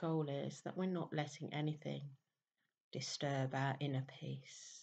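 A calm, somewhat breathy woman at a very deep, low pitch, fairly slow and fairly even in intonation. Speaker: meditation teacher. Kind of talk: guided meditation. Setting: voice only, no background music. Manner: slow, calm. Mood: warm, chatty intro. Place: home room. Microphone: webcam.

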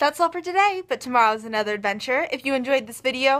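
Her pitch swinging very widely, a woman speaks in a bright, sharp tone. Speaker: travel vlogger. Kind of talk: casual vlog chat. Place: home room. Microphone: phone near.

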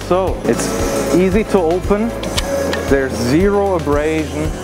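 A man's voice over clear music in the background. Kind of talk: product presentation. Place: hall.

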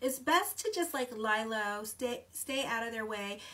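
A woman is speaking. Her intonation is lively. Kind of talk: horoscope reading vlog. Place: home room. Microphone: phone near.

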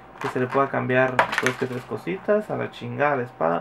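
Noticeable background noise surrounds a man with a Mexican accent. He speaks at a medium pitch and a moderate pace with ordinary pitch variation. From Mexico. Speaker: YouTuber, toy unboxing; YouTuber. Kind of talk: casual vlog unboxing. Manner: animated. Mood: joking, relaxed, swears casually. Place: home room. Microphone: phone near.

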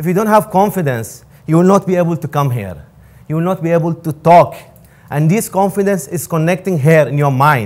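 A man speaks with an Arabic accent in a high pitch. His pitch varies in an ordinary way. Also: fairly quick pace. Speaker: student giving a motivational talk. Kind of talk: motivational pep talk to a live audience. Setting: stage with audience. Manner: earnest, encouraging; halting, non-native grammar. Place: hall. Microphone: lapel.

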